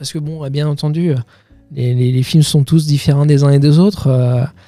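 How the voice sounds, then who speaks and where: Music plays in the background as a man speaks. His pitch is fairly high and his pace moderate. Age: 30s. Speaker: film director. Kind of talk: interview answer. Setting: podcast studio. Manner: hesitant, with stuttering and repetitions.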